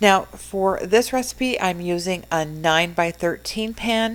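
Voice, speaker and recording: Recorded very cleanly against a silent background, a woman speaks with a fairly low pitch and ordinary pitch variation. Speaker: cooking channel host. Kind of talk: voice-over narration of a cooking tutorial. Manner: casual, with fillers; sometimes tongue-tied. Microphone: new microphone after mic problems.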